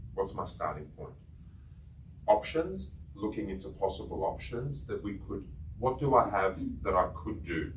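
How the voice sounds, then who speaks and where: A man with a very deep, low pitch and vocal fry talks at a moderate pace, with very wide pitch swings, big swings in loudness, long, frequent pauses and audible room echo. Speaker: coaching trainer. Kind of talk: workshop lecture.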